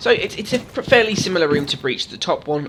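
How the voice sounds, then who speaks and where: Very fast speech with lively intonation comes from a man. Noticeable background noise is present. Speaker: gaming YouTuber. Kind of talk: game tutorial commentary. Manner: casual.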